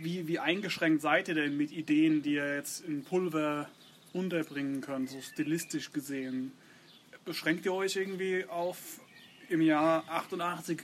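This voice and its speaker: The man talks at a very slow pace, keeping a fairly high pitch and fairly even intonation. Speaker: podcast host. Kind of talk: casual interview. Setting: outdoors in a garden.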